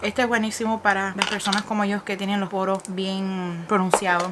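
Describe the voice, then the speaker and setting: A woman speaks very fast at a medium pitch, her intonation fairly even, with noticeable background noise. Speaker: beauty YouTuber. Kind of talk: casual talk to camera. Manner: code-switching between English and Spanish.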